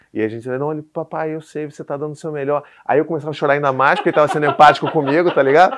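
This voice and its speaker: Very fast and with hardly any pauses, a man talks in a fairly high voice with fairly even intonation and big swings in loudness. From Brazil, Rio de Janeiro. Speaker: parenting content creator, father of four. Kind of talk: casual interview chat. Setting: studio with small audience.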